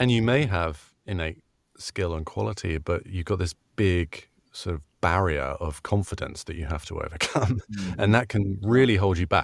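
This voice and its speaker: At a moderate pace, a man with a British accent speaks in a very deep, low pitch with ordinary pitch variation, on a very clean recording with a silent background. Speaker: voice actor. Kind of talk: interview answer.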